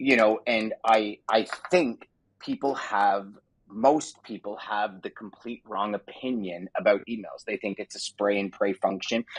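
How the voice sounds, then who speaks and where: In a dry, close recording with no echo, a man speaks at a fairly slow pace and a fairly low pitch, with ordinary pitch variation. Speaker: podcast host. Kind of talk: casual interview chat. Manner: animated.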